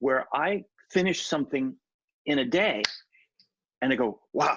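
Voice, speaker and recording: Lively intonation marks a man's fairly high-pitched voice. He talks at a fairly slow pace with very even loudness. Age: 60s. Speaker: show host, creative director. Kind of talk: interview conversation. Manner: halting.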